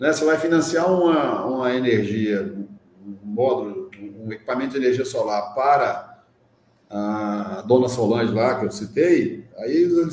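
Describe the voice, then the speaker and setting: Audible room echo follows a man as he talks. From Minas Gerais, Brazil. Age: 60s. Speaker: social entrepreneur in solar energy. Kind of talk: interview conversation.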